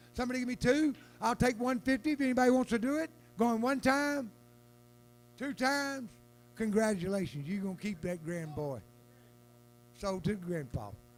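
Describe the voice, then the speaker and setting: Speaking with a Southern US accent, a man with a high voice uses lively intonation and takes long, frequent pauses. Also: moderate pace. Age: 60s. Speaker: auctioneer. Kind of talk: live auction calling. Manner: animated.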